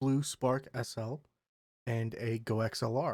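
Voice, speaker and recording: The man speaks in a monotone, flat intonation. His pitch is medium. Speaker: Twitch streamer. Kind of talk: tech review talk to camera.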